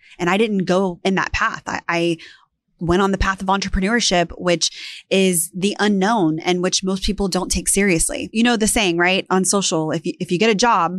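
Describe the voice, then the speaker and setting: With a normal speaking voice, a woman talks at a moderate pace and medium pitch, showing ordinary pitch variation and hardly any pauses against a quiet background. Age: 30s. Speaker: real estate entrepreneur and YouTuber. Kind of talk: personal story monologue. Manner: candid, conversational.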